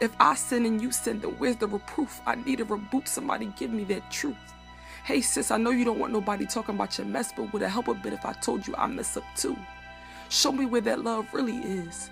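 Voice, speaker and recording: Speech comes at a fairly quick pace, with music in the background. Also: woman. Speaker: spoken word poet. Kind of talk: spoken word poetry performance.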